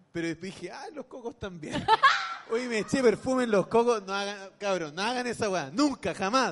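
Over noticeable background noise, a high-pitched man with a Chilean accent speaks at a moderate pace with ordinary pitch variation. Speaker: comedian and podcast co-host. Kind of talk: live comedy podcast chat. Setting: stage with live audience.

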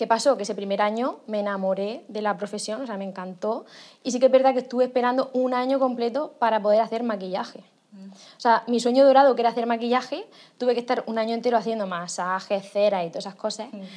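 A woman at fairly high pitch, very fast, with ordinary pitch variation and big swings in loudness. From Murcia, Spain. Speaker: makeup artist. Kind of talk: interview. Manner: animated.

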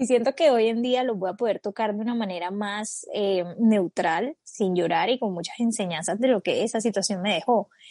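A woman talks with hardly any pauses in a fairly high voice with a dark, mellow tone and ordinary pitch variation. The sound is dry and close with no echo, over a quiet background. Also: moderate pace. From Colombia. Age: 20s. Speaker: podcast co-host. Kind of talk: casual chat.

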